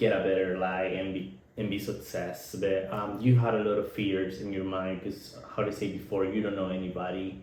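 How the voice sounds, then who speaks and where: Speaking in a Nicaraguan accent with a very deep, low pitch, a man delivers flat, monotone intonation at a moderate pace, with audible room echo. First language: Spanish. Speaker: podcast co-host. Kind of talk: casual chat. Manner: halting.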